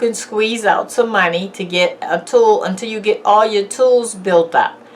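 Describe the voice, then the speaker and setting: Noticeable background noise surrounds a woman whose fairly high voice moves at a fairly slow pace. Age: 60s. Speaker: YouTuber. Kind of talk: motivational talk. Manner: casual.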